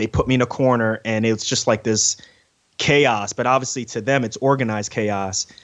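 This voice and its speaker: A man with an American accent speaks at a medium pitch and a fairly quick pace. His intonation is monotone and flat. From New York City (Queens), Ghanaian parents. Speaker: surgeon and podcaster. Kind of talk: interview. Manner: frequent fillers and repetitions.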